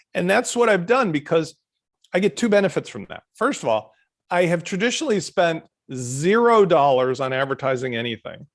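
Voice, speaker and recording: A man's high-pitched voice with very wide pitch swings at a moderate pace over a quiet background. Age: 70s. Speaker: plugin company founder. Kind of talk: interview.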